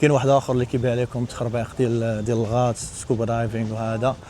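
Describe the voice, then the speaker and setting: A man of medium pitch talks at a very fast pace in a monotone, flat intonation. Noticeable background noise runs underneath. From Morocco. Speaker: travel vlogger. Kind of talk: casual talk to camera.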